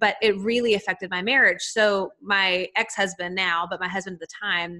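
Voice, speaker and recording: In a Southern US accent, the speaker uses a bright, sharp tone and a monotone, flat intonation at a moderate pace. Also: woman, medium pitch for a woman. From US South, Nashville, Tennessee. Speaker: life and business coach. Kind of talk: podcast interview.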